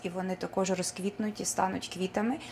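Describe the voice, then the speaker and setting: A woman's voice over light background noise. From Ukraine, Petrykivka (Dnipropetrovsk region); Ukraine. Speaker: folk artist. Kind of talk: speech at school art show; on-camera self-introduction. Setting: school event, on camera. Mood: warm, formal. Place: hall. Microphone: camera far.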